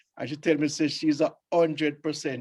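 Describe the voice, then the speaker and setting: A man speaks with a Jamaican accent. His pitch is fairly high. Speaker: scout leader and reggae show host. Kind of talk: casual radio chat.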